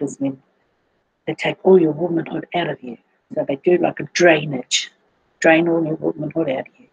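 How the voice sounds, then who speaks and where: At a moderate pace, a woman talks in a very deep, low pitch, her pitch variation ordinary. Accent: New Zealand. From New Zealand, Auckland. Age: 60s. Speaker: cancer patient sharing health testimony. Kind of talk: personal testimony. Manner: halting, with fillers.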